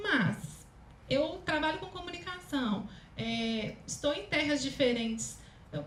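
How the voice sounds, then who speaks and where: With noticeable background noise and audible room echo, a woman speaks at a high pitch in a Minas Gerais accent, her voice making very wide pitch swings. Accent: mineiro. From Minas Gerais, Brazil. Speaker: speech therapist and communication consultant. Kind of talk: lecture.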